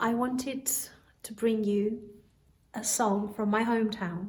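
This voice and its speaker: A woman's somewhat breathy, fairly high voice at a very slow pace, with fairly even intonation and audible room echo. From Albania. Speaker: singer. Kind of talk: spoken introduction to a song.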